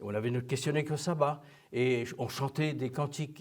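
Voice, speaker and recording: A fairly high-pitched, somewhat breathy male voice at a fairly quick pace, with ordinary pitch variation. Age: 70s. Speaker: church elder. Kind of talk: interview testimony.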